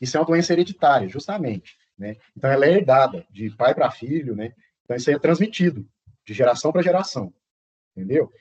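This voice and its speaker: A man speaks in a somewhat breathy, fairly high voice. His pitch swings very widely. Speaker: professor. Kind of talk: lecture. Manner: fast.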